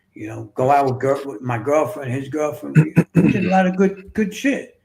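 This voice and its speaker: This man has a fairly high pitch, ordinary pitch variation, and a New York accent. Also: moderate pace. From New York City. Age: 60s. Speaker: author and fitness coach. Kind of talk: casual interview, personal storytelling.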